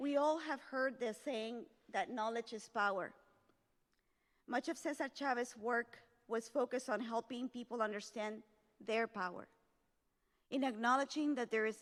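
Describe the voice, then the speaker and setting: In a Spanish accent, a woman with a high pitch speaks at a moderate pace with ordinary pitch variation and long, frequent pauses. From El Salvador. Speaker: community leader, keynote speaker. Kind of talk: formal speech. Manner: formal.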